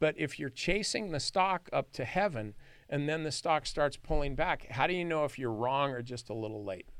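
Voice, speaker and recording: A man speaks with an American accent at a fairly high pitch and a moderate pace. His intonation is lively, and the recording is very clean with a silent background. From US West (California, San Joaquin Valley). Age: 60s. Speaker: stock trader and former lawyer. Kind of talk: podcast interview. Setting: studio.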